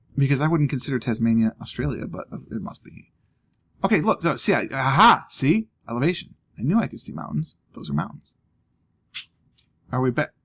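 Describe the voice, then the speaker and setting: In an American accent, a man talks at a fairly quick pace and a medium pitch, his voice showing vocal fry, very wide pitch swings, big shifts in loudness, and long, frequent pauses. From US, Ohio. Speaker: gaming video commentator. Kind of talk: let's play commentary. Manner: casual, self-talking.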